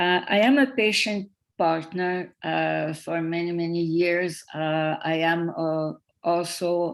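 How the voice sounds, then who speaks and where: In a very clean recording with a silent background, a woman with a Quebec accent speaks at a fairly low pitch with ordinary pitch variation. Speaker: patient partner. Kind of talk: panel presentation.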